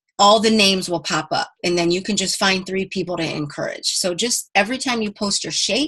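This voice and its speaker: With music playing behind, the speaker talks at a fairly quick pace with ordinary pitch variation and hardly any pauses. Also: woman, medium pitch for a woman. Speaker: fitness team coach. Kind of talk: team conference call pep talk. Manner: fast; animated.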